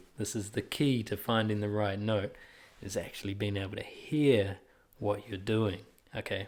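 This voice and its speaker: At a moderate pace, a man speaks in a fairly low voice with fairly even intonation. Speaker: music teacher. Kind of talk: tutorial. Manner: casual, filler-heavy.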